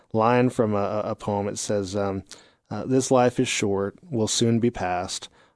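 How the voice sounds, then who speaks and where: Against a quiet background, in a dry, close sound with no echo, a man with a fairly low pitch uses a plain, everyday voice and fairly even intonation. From Texas. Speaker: university dean. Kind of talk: casual interview.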